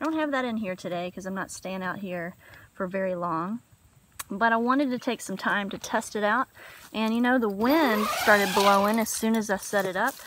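A woman talks at a moderate pace with ordinary pitch variation. The sound is dry with no echo, over light background noise. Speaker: camper reviewing gear. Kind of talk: casual vlog chat. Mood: upbeat, enthusiastic. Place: waterside. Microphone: phone near.

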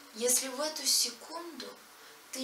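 A woman speaks in a raised, projected voice. Light background noise and audible room echo surround her. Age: young. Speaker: poet; poet reciting own verse. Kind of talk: reading aloud. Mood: reflective, earnest.

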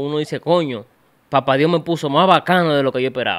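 A man with a Dominican accent at a fairly quick pace. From Dominican Republic. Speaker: podcast host, interviewer; podcast host. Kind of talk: casual interview chat. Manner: animated, joking. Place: studio. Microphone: studio mic.

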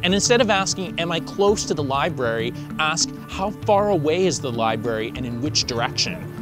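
Over clear background music, a man speaks at a fairly quick pace in a dry recording with no echo. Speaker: presenter. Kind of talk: tutorial. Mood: cheerful, friendly. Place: street.

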